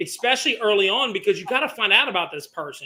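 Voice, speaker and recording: Raised and projected, a man's high-pitched voice has a bright, sharp tone. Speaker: podcast host, former Marine, business owner. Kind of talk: casual chat. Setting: Mexican restaurant. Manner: hesitant, repeats words.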